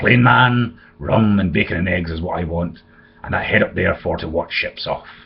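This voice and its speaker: A man puts on a raspy character voice with a very deep, low pitch. He talks at a moderate pace with lively intonation. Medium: read story. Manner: rough, commanding.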